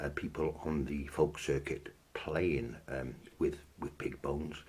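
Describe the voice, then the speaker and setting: Speaking at a fairly slow pace, a man with a very deep, low pitch shows ordinary pitch variation and vocal fry. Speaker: instrument maker. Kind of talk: tutorial. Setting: filmed on camera with slight delay. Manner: deliberately slow; hesitant, many ums.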